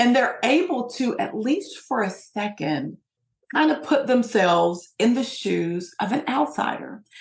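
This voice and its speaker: A woman with an American accent speaks at a fairly slow pace in a fairly high pitch, her voice swinging very widely in pitch and showing vocal fry. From US, Appalachian Kentucky (Hazard). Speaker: sociologist and diversity trainer. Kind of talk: interview.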